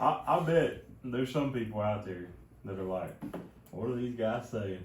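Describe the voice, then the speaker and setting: Amid noticeable background noise and audible room echo, a man with an American accent speaks with big swings in loudness and long, frequent pauses. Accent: hick. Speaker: podcast co-host. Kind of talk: casual chat.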